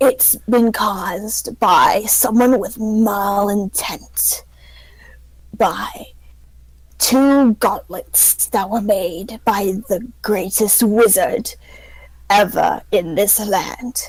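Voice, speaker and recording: In a put-on character voice, a female-sounding voice at a medium pitch speaks raspily at a very slow pace. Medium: actual play. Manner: confiding, evasive.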